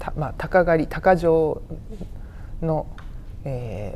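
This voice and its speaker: A woman speaks with a very deep, low pitch and ordinary pitch variation, and audible room echo fills the recording. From Saitama, Kanto. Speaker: museum researcher. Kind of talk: interview.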